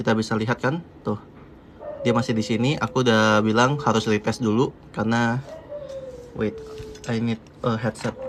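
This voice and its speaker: A man talks at a moderate pace with fairly even intonation and long, frequent pauses. Noticeable background noise runs underneath. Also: medium pitch for a man. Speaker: crypto trading streamer. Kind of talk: live stream technical chart analysis. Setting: live stream. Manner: casual, with hesitations and restarts.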